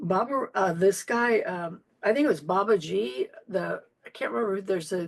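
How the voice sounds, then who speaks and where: Her intonation is lively, and this woman's voice carries vocal fry. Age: 70s. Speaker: Zen priest and teacher. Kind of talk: interview conversation.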